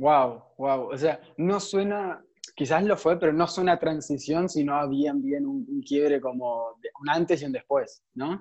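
A man with an unremarkable speaking voice talks at a fairly high pitch and a fairly slow pace, with ordinary pitch variation. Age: young. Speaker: podcast host. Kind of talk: interview conversation.

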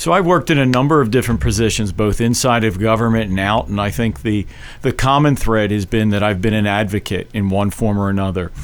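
Speaking at a very fast pace with hardly any pauses, a man with an American accent has a fairly low pitch. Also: ordinary pitch variation. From Philadelphia, South Philly. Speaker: political candidate. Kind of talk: radio interview. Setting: radio studio.

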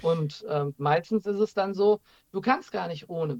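A man speaks at a high pitch with ordinary pitch variation, the sound dry and close with no echo. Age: 40s. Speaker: Reiki master and paranormal investigator. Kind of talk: casual interview. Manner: halting, many fillers and restarts.

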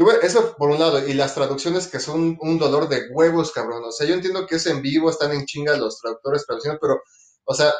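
With a plain, everyday voice, this man speaks at a fairly quick pace, using lively intonation and a fairly high pitch. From Mexico City. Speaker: podcast co-host. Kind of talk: casual chat.

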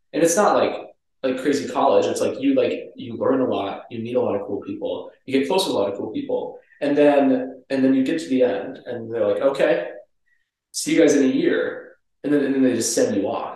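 A man speaks at a fairly quick pace with an American accent. There is audible echo from the room. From Minnesota. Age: 20s. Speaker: pharmacy student. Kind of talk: casual chat.

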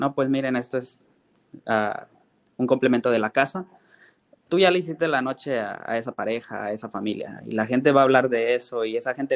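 A man with a Mexico City accent at a medium pitch and a fairly quick pace, ordinary pitch variation, dry, close sound with no echo and a quiet background. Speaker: chef. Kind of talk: interview.

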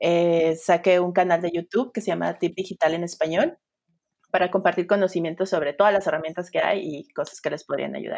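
A woman with an ordinary speaking voice talks at a fairly quick pace and a fairly low pitch. Her intonation is fairly even. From Sinaloa, Mexico. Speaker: UX designer. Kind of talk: interview.

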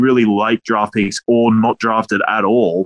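The sound is dry and close, with no echo. The speaker has an Australian accent. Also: man. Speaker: fantasy football co-host.

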